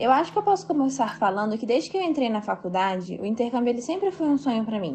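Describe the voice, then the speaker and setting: Her pitch swings very widely. The woman speaks very fast in a high voice. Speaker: architecture student. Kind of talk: recorded testimony.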